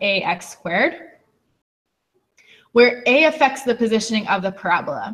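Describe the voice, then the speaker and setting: The woman's voice has lively intonation. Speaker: teacher. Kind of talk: lecture. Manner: fast.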